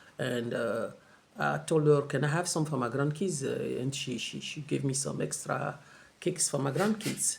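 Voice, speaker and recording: A man with a French accent, fairly high pitch, moderate pace and ordinary pitch variation. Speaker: travel vlogger. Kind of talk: casual vlog monologue. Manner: halting, many fillers and repeats.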